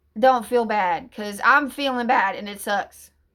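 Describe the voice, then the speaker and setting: An American-accented woman at a fairly slow pace, bright and sharp in tone with ordinary pitch variation, on a very clean recording with a silent background. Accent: Appalachian, usually masked. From US Appalachia, southern Ohio near Kentucky. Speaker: YouTuber. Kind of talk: personal vlog rant. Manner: halting.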